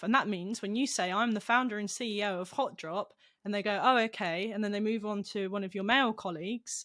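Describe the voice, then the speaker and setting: A woman's medium-pitched voice with a British accent and ordinary pitch variation. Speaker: esports company founder and CEO. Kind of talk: podcast interview. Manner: halting, repeats words.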